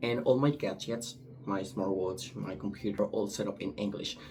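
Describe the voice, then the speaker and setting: A man talks with a Spanish accent. His intonation is lively. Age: 20s. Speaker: language student. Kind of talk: recorded class assignment monologue. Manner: hesitant, with filler words.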